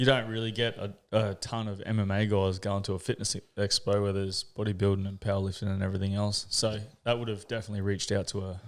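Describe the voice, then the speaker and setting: Talking at a very fast pace with hardly any pauses, a man with a strong Australian accent uses a monotone, flat intonation and a fairly low pitch, on a very clean recording with a silent background. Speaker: podcast host, army veteran. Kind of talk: podcast interview.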